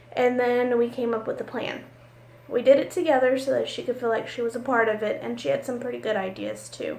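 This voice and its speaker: With noticeable background noise and audible room echo, a woman speaks at a fairly quick pace. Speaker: college business office supervisor. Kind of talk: recorded class assignment monologue. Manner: loud.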